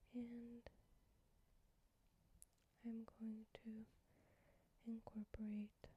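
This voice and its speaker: The speaker talks at a very slow pace in a gentle tone. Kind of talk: soft-spoken ASMR chat to camera. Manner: soft-spoken, gentle.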